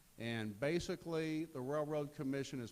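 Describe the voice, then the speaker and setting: A man speaks at a moderate pace in an ordinary speaking voice. His pitch varies in an ordinary way. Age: 60s. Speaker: political candidate. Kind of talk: campaign speech.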